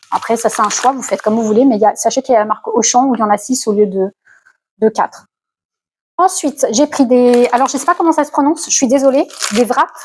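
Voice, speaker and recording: The speech runs at a very fast pace, broken by long, frequent pauses, with ordinary pitch variation. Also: woman, high pitch for a woman. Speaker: lifestyle vlogger. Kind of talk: casual vlog haul talk. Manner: hesitant, many fillers.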